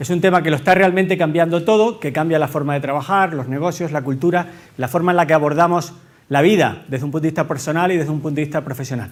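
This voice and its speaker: A man with a Canarian accent speaks at a very fast pace in a fairly high pitch, with ordinary pitch variation and audible room echo. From Canary Islands. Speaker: tech company executive, conference speaker. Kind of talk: conference talk. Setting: stage with audience. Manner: engaging, addresses audience directly.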